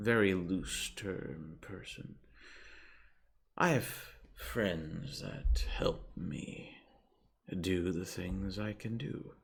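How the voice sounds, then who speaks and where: A man performs a put-on character voice at a very deep, low pitch. He goes very slowly, with long, frequent pauses. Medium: actual play. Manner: calm, neutral, slow and measured.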